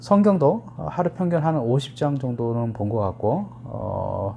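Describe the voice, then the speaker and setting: Music can be heard behind the voice. Its intonation is lively. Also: man. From rural Korea, moved to Seoul as a child. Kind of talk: casual talk to camera.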